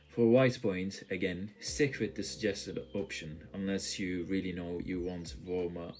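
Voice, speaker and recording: In a very deep, low pitch, a man speaks at a fairly slow pace with a strong non-native accent. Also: hardly any pauses. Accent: thick non-native. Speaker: tech youtuber. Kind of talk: tutorial.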